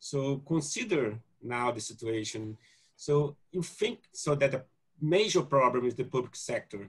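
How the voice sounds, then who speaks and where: A somewhat breathy man at a fairly slow pace, with lively intonation. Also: quiet background. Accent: Portuguese. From Brazil. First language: Portuguese. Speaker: geneticist, panel moderator. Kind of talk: panel discussion. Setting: video call. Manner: halting. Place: home room. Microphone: video call.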